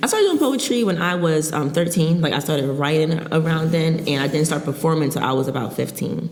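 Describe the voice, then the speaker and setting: The speech comes at a very fast pace with hardly any pauses and ordinary pitch variation, amid noticeable background noise and audible room echo. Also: woman, very deep, low pitch for a woman. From Philadelphia. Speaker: spoken word poet. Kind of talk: podcast interview. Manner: halting, many fillers.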